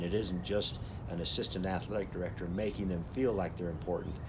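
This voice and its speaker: A man with a very deep, low pitch, somewhat breathy, with fairly even intonation and audible room echo. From Utah, St. George. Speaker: retired football coach. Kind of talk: casual interview. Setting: outdoors on a home deck.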